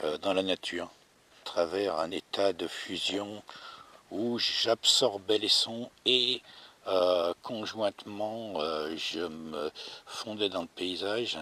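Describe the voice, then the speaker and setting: Noticeable background noise surrounds a man who speaks at a very slow pace. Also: fairly low pitch for a man, ordinary pitch variation. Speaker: actor and co-screenwriter. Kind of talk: improvised spoken reflection while walking. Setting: outdoors. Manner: hesitant, many filler sounds.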